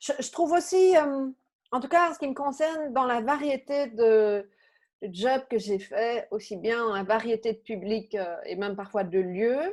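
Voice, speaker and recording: The intonation is lively and the pace fairly slow. The recording is very clean, with a silent background. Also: woman, fairly high pitch for a woman. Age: 50s. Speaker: coach and therapist. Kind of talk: interview conversation. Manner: hesitant, many fillers.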